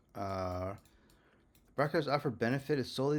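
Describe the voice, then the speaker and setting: With a non-native accent, a man talks very fast. His medium-pitched voice has lively intonation. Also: very clean recording, silent background. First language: not English. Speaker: legal self-litigant. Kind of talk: casual screen-share commentary. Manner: hesitant, many fillers.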